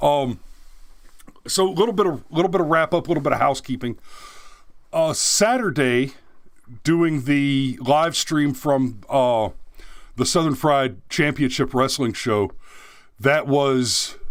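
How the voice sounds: A man at medium pitch speaks at a fairly slow pace with ordinary pitch variation and long, frequent pauses.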